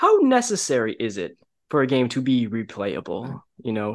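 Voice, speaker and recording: Speaking at a moderate pace, a man has a medium pitch with ordinary variation and an unremarkable speaking voice. The background is quiet. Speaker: podcast co-host. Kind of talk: casual chat.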